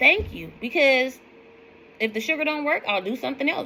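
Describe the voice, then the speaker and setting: A woman with a high pitch speaks at a fairly quick pace. Her tone is animated, bright and sharp. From US West Coast, East Oakland, California. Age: 40s. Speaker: weight-loss vlogger. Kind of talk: casual vlog monologue, rant.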